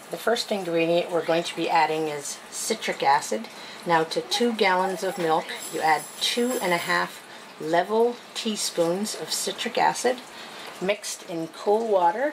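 A woman with an ordinary speaking voice, fairly low in pitch, talks at a fairly slow pace over light background noise. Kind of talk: tutorial. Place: kitchen. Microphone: phone near.

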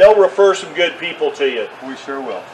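Light background noise sits behind a man speaking at a moderate pace in a Texan accent. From Texas. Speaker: realtor video host. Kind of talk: street-seller pitchman patter, upbeat promo spiel. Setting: outdoors. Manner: friendly, folksy. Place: open country. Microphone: camera far.

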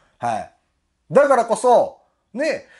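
A man speaks with a Kansai accent. The background is quiet. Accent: Kansai Japanese. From Japan. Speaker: political commentary YouTuber and butcher; online commentator. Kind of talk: monologue commentary. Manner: frequent fillers, rhetorical tags. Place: home room.

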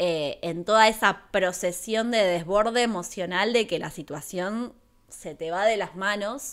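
A woman speaks at a fairly slow pace with an Argentine accent and a bright, sharp tone. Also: quiet background. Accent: Rioplatense Argentine Spanish. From Argentina, La Plata; Argentina. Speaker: YouTuber and streamer, film reviewer; YouTuber, streamer, film reviewer. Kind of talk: live stream film review. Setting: home live stream. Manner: animated. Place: home room. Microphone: studio mic.

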